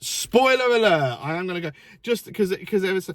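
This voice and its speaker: A somewhat breathy man's voice with an English accent. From England. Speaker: film reviewer. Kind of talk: casual chat. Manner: halting.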